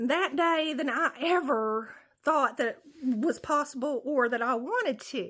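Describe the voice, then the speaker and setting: Speaking at a very slow pace, a woman uses a high pitch, a bright, sharp tone and lively intonation. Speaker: comedian. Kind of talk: casual storytelling to camera.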